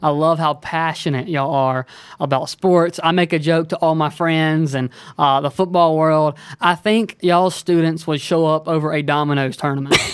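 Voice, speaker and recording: In an Alabama accent, the speaker talks with fairly even intonation. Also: man, fairly high pitch for a man, moderate pace. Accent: Southern US (Alabama). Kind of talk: casual interview chat.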